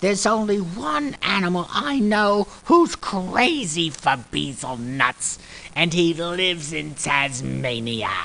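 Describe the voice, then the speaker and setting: In a put-on character voice at a middle pitch, the speaker goes on with hardly any pauses over clear background noise. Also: fairly slow pace. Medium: audio drama.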